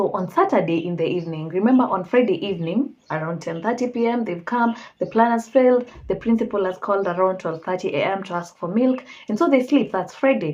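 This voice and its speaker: A woman talks in a normal speaking voice at a medium pitch. Her intonation is lively. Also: fairly quick pace. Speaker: true crime storyteller. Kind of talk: casual storytelling.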